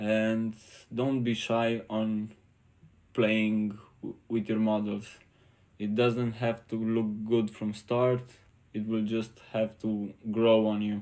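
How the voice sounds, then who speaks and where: A man with a non-native accent talks at a very slow pace, in a dark, mellow tone and a fairly low pitch, with monotone, flat intonation. Long, frequent pauses break up his speech on a very clean recording with a silent background. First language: not English. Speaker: 3D artist. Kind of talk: tutorial. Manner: halting.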